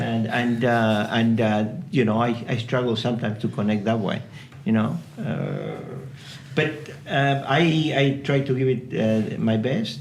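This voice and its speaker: Over noticeable background noise and audible room echo, a man with a medium pitch speaks at a fairly slow pace, with ordinary pitch variation and very even loudness. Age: 60s. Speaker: project manager, podcast guest. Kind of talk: casual chat. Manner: halting, many fillers.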